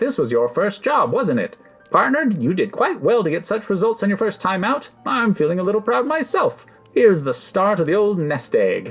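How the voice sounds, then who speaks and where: Over faint music in the background, a man puts on a high-pitched character voice at a moderate pace. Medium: game stream. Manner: brisk, upbeat.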